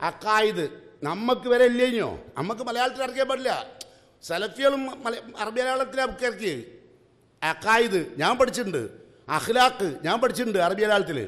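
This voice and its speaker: Against a quiet background, a man talks at an extremely high pitch with ordinary pitch variation. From Kerala, India. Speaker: Islamic preacher; speaker. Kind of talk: religious class lecture. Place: hall. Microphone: podium.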